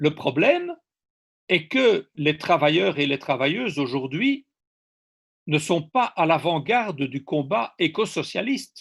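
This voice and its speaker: Very wide pitch swings mark this very slow speech over a quiet background. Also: man. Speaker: ecosocialist speaker. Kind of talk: seminar talk.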